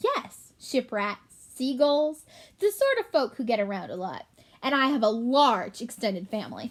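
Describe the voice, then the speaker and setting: A woman performs a put-on character voice, high-pitched and shrill. She keeps a moderate pace. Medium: read story. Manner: pompous, know-it-all.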